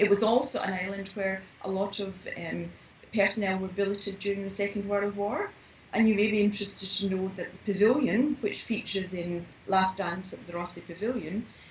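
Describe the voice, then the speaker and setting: A woman's medium-pitched voice with a Scottish accent, fairly even intonation and a moderate pace, over noticeable background noise. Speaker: mystery novelist. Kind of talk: podcast interview answer.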